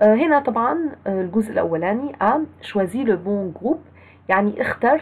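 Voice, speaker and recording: Speaking in an Egyptian accent, a woman uses fairly high pitch and lively intonation at a moderate pace. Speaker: French teacher. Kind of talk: lecture.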